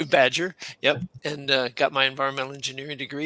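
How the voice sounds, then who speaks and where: Talking at a fairly quick pace, a man has an unremarkable speaking voice with ordinary pitch variation. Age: 60s. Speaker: career coach and retired Air Force colonel. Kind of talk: casual interview.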